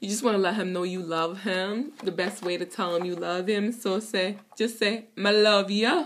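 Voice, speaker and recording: A woman speaks at a medium pitch in an upbeat, playful tone. Noticeable background noise can be heard. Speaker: language teacher. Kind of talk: casual talk to camera.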